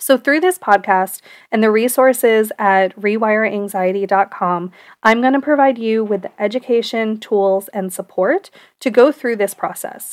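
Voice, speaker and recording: With an unremarkable speaking voice, a woman at a fairly high pitch talks at a moderate pace with ordinary pitch variation, in a dry, close sound with no echo on a very clean recording with a silent background. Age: 30s. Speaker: podcast host, neuroscientist and therapist in training. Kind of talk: personal monologue.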